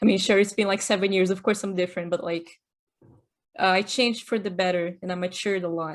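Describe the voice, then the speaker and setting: A woman with a Portuguese accent talks at a very fast pace and medium pitch. Her intonation is fairly even, and the background is quiet. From Brazil, São Paulo. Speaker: podcast host, technical artist. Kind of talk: casual chat; scripted narration. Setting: podcast recording.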